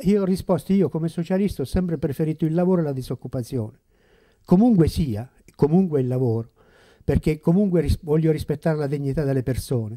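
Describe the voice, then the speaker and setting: Against a quiet background, a man with a fairly high pitch and a dark, mellow tone talks very fast with lively intonation. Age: old. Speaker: retired school principal, former councillor; former councillor. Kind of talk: panel discussion; public talk on politics. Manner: halting. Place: shop. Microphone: handheld.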